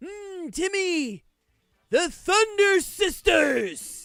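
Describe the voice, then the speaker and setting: A man in a put-on character voice, extremely high in pitch, with a dramatic tone and a very slow pace. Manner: dramatic, villainous.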